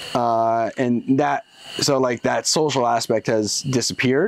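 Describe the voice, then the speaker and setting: Speaking with an American accent, a man talks at a moderate pace in a medium pitch. Noticeable background noise is present. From Seattle, Washington. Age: 30s. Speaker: mechanical engineer. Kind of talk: interview answer.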